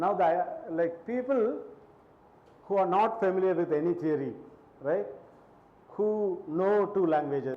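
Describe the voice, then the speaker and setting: A man with a high pitch and a non-native accent speaks at a fairly slow pace with long, frequent pauses and ordinary pitch variation, in a room with audible echo. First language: not Hindi. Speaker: linguistics lecturer. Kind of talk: lecture. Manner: conversational, many fillers.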